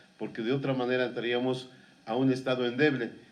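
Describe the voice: Audible room echo surrounds a man speaking at a medium pitch.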